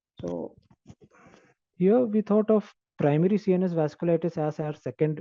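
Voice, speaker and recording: Soft-spoken and dark, mellow in tone, a man with a high pitch talks at a moderate pace with ordinary pitch variation against a quiet background. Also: dry, close sound with no echo. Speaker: doctor presenting a case. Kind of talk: case presentation. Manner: halting.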